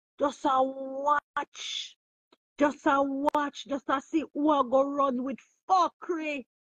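Over a quiet background, a woman speaks at a high pitch, the sound dry with no echo. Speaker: livestream host. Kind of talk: casual livestream chat. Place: home room. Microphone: phone near.

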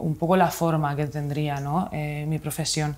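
The speaker is a woman with a fairly low pitch. Her speed is moderate. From Spain, Murcia region (Mula); Murcia, Spain. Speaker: illustrator and author; interviewee. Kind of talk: interview. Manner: halting, many fillers. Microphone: lapel.

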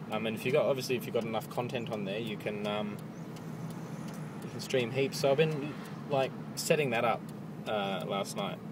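With noticeable background noise and a dry, echo-free sound, a man talks at a fairly quick pace. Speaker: vlogger. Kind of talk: casual vlog chat. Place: car. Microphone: phone near.

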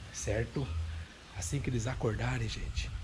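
Vocal fry runs through the voice, set against noticeable background noise. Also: man. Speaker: family vlogger. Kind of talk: casual vlog chat. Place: home room. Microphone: phone near.

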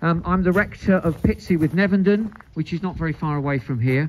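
A man speaks at a moderate pace. Light background noise is present. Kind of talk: ceremony address and prayer. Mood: solemn, respectful. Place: open country.

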